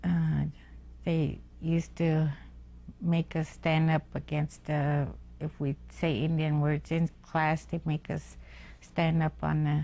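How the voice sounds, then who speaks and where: A woman speaks at a very slow pace in a Lakota accent, with long, frequent pauses. Her loudness stays very even. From US Great Plains, Pine Ridge area, South Dakota. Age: old. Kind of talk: oral history interview. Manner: halting, many fillers.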